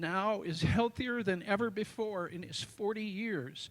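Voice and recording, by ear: Pitch varies in an ordinary way while the speech goes at a fairly slow pace. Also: man, high pitch for a man.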